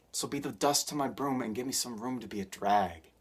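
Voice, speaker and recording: The speaker keeps a moderate pace. The recording is very clean, with a silent background. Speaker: spoken word poet. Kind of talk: spoken word poetry performance.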